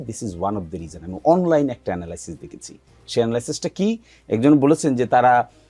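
A man at a medium pitch uses very wide pitch swings in a dark, mellow tone. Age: 40s. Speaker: political commentator. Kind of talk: heated debate. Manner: argumentative.

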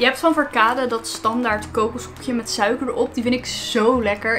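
A woman's voice over music in the background. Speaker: food vlogger. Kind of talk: casual vlog chat, taste test. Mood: cheerful, enthusiastic. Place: home room. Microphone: phone near.

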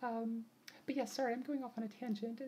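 The intonation stays fairly even over light background noise. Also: woman. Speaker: vlogger. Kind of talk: casual vlog chat. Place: home room. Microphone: webcam.

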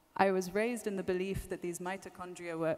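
A woman with fairly low pitch. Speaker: speaker. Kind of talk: lecture. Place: hall. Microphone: podium.

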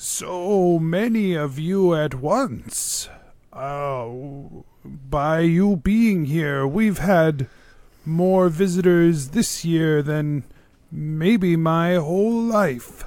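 A man puts on a character voice, pitched high and delivered very slowly. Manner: slow, welcoming, grandfatherly, ominous when warning.

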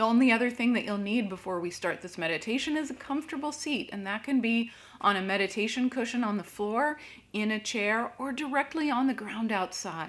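A soft-spoken woman talks in a fairly high voice. Her intonation is lively. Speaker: crystal meditation teacher and Reiki master. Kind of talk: guided meditation with slow breathing prompts and reflective questions. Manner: slow, calm and soothing, with long pauses between prompts; gentle and inviting, posing soft introspective questions. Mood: calm, gentle. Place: home room.

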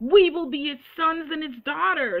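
A woman with a high pitch and lively intonation speaks against a quiet background. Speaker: preacher. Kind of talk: sermon. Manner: earnest, preaching with urgent exhortation; quoting scripture verse by verse, emphatic. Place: home room. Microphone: webcam.

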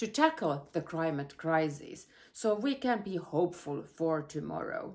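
At a moderate pace, a woman speaks against a quiet background. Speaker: politician giving video greeting. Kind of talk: prepared speech. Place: home room. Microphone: phone near.

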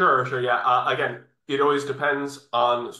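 A man speaks with a New York accent. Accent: New York American. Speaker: English test training coordinator. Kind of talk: webinar presentation. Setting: video call.

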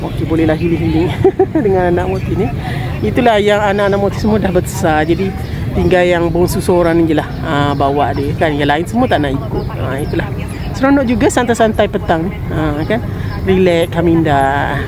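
Noticeable background noise runs under speech at a moderate pace, with a dry sound that has no echo. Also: woman. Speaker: vlogger. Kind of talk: casual vlog chat. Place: open country. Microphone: phone near.

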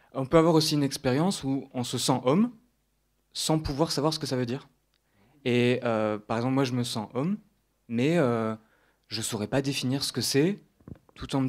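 A man speaks at a moderate pace in a medium pitch, with ordinary pitch variation and long, frequent pauses. The recording is very clean, with a silent background. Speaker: audience member. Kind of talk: audience question. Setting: stage with audience.

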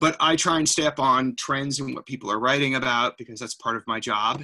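A man talks fairly quickly, his intonation fairly even, with a quiet background behind him. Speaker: presenter. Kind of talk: presentation. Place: home room. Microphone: webcam.

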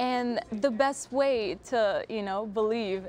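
A woman with an enthusiastic tone speaks at a fairly slow pace with ordinary pitch variation, in a dry sound with no echo and light background noise. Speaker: university student. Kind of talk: casual interview. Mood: warm, smiling. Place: studio.

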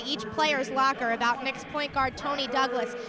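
A woman with a high pitch speaks in a raised, projected voice at a fairly quick pace, with a dry sound with no echo and noticeable background noise. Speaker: sports reporter. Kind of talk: live sideline report to broadcast anchors. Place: stadium. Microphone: handheld.

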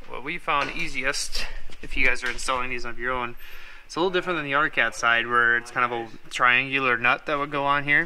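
Fairly quick and bright, sharp in tone, a man speaks with fairly even intonation.

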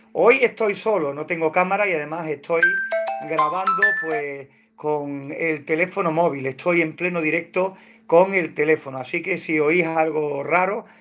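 A man speaks at a fairly slow pace with ordinary pitch variation. Faint music plays in the background. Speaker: hobby poultry incubation channel host. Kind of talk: casual livestream tutorial chat. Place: home room. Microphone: phone near.

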